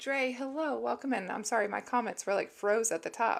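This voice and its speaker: A woman talks with vocal fry and ordinary pitch variation. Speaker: livestreamer. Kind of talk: casual chat.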